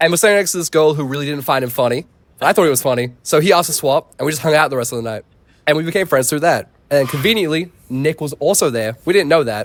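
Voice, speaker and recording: A man with an Australian accent speaks at a very fast pace. His fairly high pitch varies in an ordinary way. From Sydney, Australia. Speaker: visual artist in a rap group. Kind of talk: casual interview chat.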